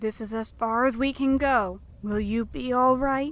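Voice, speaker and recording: Using a put-on character voice, a woman speaks at a fairly high pitch and a moderate pace. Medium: audio drama. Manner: gentle, caring.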